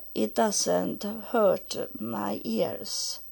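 A woman speaks at a very slow pace with a Swedish accent. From Sweden. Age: 70s. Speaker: solo podcaster. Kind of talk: personal monologue. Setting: at home. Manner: halting.

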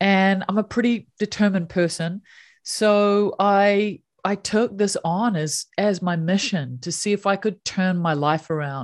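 In a New Zealand accent, a woman talks at a medium pitch with ordinary pitch variation over a quiet background. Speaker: happiness coach. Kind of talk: interview conversation.

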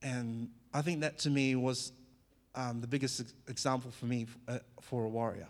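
A man at medium pitch with a slight New Zealand accent, moderate pace and monotone, flat intonation. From New Zealand (born in Fiji). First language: Fijian. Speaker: former professional athlete sharing testimony. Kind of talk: church testimony talk. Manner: casual, halting with many fillers.

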